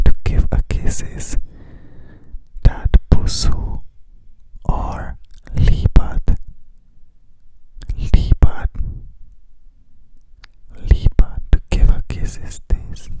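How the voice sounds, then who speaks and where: Whispering and soft-spoken, a man talks at a very slow pace with long, frequent pauses over noticeable background noise. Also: dry sound with no echo. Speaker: language teacher. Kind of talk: soft whispered language tutorial. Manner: soft close whisper at the ear. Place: home room. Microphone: handheld.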